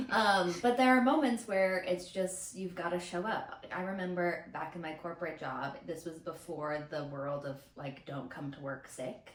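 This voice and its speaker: Noticeable background noise sits behind a woman with a fairly low pitch. She keeps a moderate pace with hardly any pauses and big swings in loudness. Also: lively intonation. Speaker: podcast co-host, filmmaker. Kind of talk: casual chat. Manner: gentle, soft-spoken.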